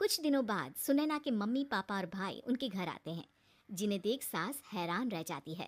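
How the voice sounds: A woman speaks at a medium pitch and a moderate pace. Her intonation is lively.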